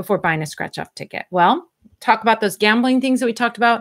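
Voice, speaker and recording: On a very clean recording with a silent background, a woman with an American accent speaks fairly quickly at a fairly high pitch. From Southern California. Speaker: spiritual advisor / magic practitioner. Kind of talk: live-stream Q&A. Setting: live stream on YouTube and Instagram. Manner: chatty, informal.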